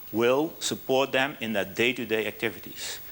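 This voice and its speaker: With a Dutch accent, a man talks at a moderate pace in a medium pitch. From Netherlands. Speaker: business speaker, app founder. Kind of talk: conference presentation. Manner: halting, with fillers and restarts.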